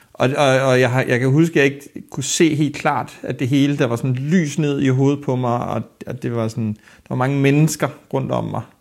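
With an unremarkable speaking voice, a man of medium pitch talks at a moderate pace with fairly even intonation. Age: 30s. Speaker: archive worker, accident victim. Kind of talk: interview testimony.

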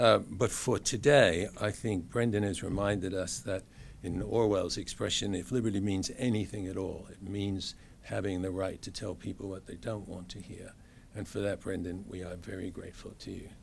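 A man with an American accent has an unremarkable speaking voice at a fairly low pitch. He keeps a moderate pace and fairly even intonation, with big swings in loudness. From USA. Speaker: education expert, former university head. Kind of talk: closing remarks.

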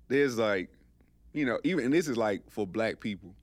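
A man with lively intonation at a moderate pace, on a very clean recording with a silent background. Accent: Georgia. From US South, LaGrange, Georgia. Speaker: podcast guest. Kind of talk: casual chat.

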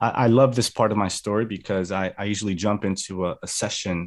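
At a moderate pace, a man talks in a plain, everyday voice pitched fairly low. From New Jersey (Atlantic City), early childhood in Colombia. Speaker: youth minister and speaker. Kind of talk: testimony. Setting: video call.

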